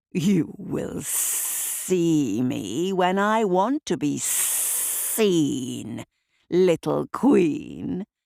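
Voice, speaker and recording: A rumbling put-on character voice at middle pitch, delivered at a very slow pace. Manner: rumbling, commanding.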